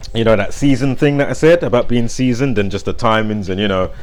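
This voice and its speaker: A man speaks very fast with ordinary pitch variation, noticeable background noise behind him. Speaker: conspiracy and numerology commentator. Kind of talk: casual monologue. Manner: loud; rambling with fillers.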